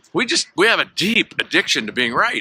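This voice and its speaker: With an American accent, a man speaks in a bright, sharp tone, the sound dry and close with no echo. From California, US. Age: 60s. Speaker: network marketing trainer. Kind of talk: motivational talk. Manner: casual, conversational.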